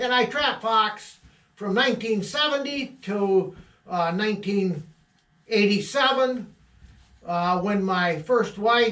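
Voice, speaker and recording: A man speaks at a very slow pace with long, frequent pauses. His high pitch shows ordinary variation, and his tone is bright and sharp. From Michigan, Midland County. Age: 70s. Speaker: trapper. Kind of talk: casual monologue. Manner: halting.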